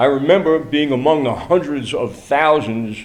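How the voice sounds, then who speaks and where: Audible room echo hangs around the speech. The speaker is a man with an American accent. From New York City. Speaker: activist speaker. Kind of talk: prepared speech. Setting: church event with audience.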